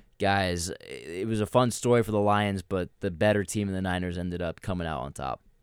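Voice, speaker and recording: The recording is very clean, with a silent background. A man with an ordinary speaking voice talks at a fairly quick pace in fairly low pitch, with ordinary pitch variation. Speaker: sports podcast host. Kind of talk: casual sports discussion. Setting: studio.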